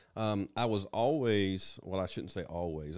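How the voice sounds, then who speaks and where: A man talks with a Tennessee accent. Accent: Southern US (Tennessee). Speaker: county emergency management director. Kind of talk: interview.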